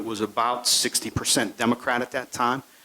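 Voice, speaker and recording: The man talks at a fairly quick pace with a medium pitch. Noticeable background noise is present. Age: 60s. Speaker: sheriff. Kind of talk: speech to a club audience. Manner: halting, many fillers.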